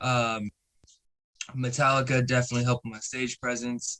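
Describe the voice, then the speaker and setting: A man speaks at a moderate pace with a medium pitch, his bright, sharp tone caught in a dry, close sound with no echo. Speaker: pop punk band vocalist. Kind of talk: casual chat.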